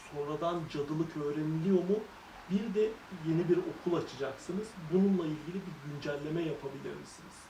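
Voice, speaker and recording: Amid noticeable background noise, a woman with very deep, low pitch and ordinary pitch variation talks at a fairly quick pace with big swings in loudness. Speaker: travel vlogger interviewing witches. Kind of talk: interview.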